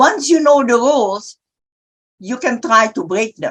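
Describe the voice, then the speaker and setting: Speaking at a fairly slow pace in an Indonesian accent, a woman uses a high pitch with very wide pitch swings. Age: 80s+. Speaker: publisher. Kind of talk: panel discussion.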